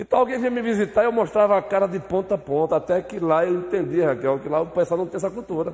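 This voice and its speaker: Speaking very fast, a man uses a high pitch and lively intonation. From Brazilian Northeast (Bahia/Pernambuco). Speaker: pastor teaching Sunday school. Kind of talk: Bible class teaching with discussion. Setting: church.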